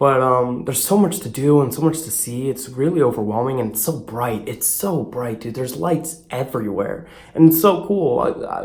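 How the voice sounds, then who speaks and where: A man speaks at a medium pitch with lively intonation and hardly any pauses. Room echo is audible. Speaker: vlogger. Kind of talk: casual travel vlog. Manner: fast. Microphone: echo in room.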